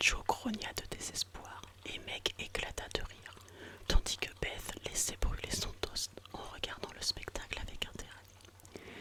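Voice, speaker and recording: Whispering at a very slow pace, a woman's volume swings widely over noticeable background noise. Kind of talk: whispered novel reading, narration with dialogue. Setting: intended for headphones, bedtime relaxation. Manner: whispered, soft, relaxing.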